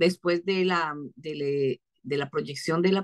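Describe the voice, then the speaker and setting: A woman talks at a fairly slow pace with a fairly low pitch and ordinary pitch variation against a quiet background. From Venezuela. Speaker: film festival artistic director. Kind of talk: interview. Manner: animated. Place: home room. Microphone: video call.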